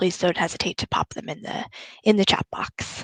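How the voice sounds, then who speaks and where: Speaking at a very fast pace, a woman with an American accent keeps a medium pitch and fairly even intonation, recorded dry and close with no echo. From United States. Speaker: recruiter. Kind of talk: presentation.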